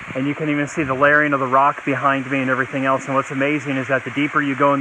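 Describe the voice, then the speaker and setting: Amid noticeable background noise, a man talks with monotone, flat intonation. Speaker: teacher. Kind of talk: outdoor educational video lesson. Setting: outdoors by a waterfall. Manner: loud, projecting over the water; casual, with many fillers.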